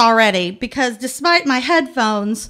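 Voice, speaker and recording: With lively intonation, a woman talks at a fairly high pitch. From Texas. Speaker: storyteller. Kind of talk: live storytelling.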